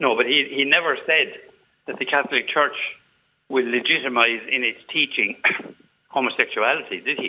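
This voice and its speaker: Speaking with an Irish accent, a man keeps a moderate pace. His speech has long, frequent pauses. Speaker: caller. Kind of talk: radio phone-in debate. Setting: phone call.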